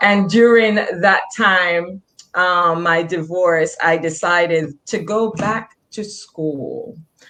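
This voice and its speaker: A woman speaks with a Jamaican accent. Her pace is very slow. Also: medium pitch for a woman, ordinary pitch variation. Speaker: nurse practitioner, author and motivational speaker. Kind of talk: interview. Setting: online video show.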